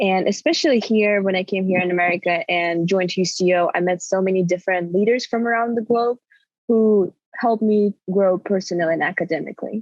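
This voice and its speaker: A woman speaks at a fairly quick pace with a Russian accent and medium pitch. Her loudness stays very even and her intonation fairly even. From Kazakhstan. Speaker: recent university graduate. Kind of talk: casual interview.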